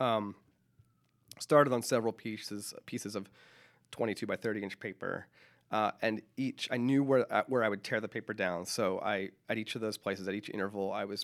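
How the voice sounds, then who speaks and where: Long, frequent pauses break up a man's fairly even, fairly low-pitched speech in a very clean recording with a silent background. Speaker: painter and musician. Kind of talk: radio interview. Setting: radio studio. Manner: fast talker; hesitant, filler-heavy.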